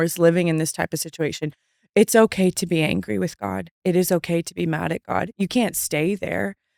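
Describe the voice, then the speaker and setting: An unremarkable speaking voice from a woman, fairly low in pitch and fairly quick, dry and close with no echo on a very clean recording with a silent background. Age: 30s. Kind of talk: faith-based interview conversation. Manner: warm and reassuring.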